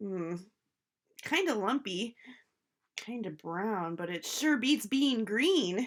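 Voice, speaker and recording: A female-sounding voice performs a put-on character voice. It moves at a very slow pace, with long, frequent pauses. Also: fairly high pitch for a woman. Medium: read story.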